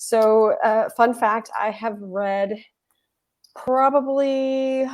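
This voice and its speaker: Over a quiet background, a woman with a Texan accent speaks at a fairly high pitch with fairly even intonation. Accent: Texan American English. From Texas. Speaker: writing coach and retired librarian. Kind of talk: interview on a live webinar.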